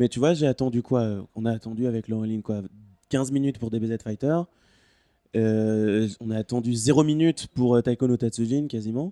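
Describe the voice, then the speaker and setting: Recorded dry and close with no echo against a quiet background, a man with a dark, mellow tone speaks at a medium pitch and a moderate pace, with ordinary pitch variation. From Quebec. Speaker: podcast panelist. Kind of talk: casual chat.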